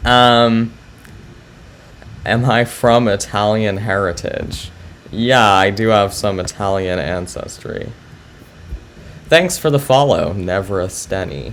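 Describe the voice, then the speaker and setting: Amid noticeable background noise, a man with a fairly low pitch and ordinary pitch variation speaks very slowly, leaving long, frequent pauses. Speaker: chess streamer. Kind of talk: live stream chat with viewers. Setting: live stream. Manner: hesitant, many fillers.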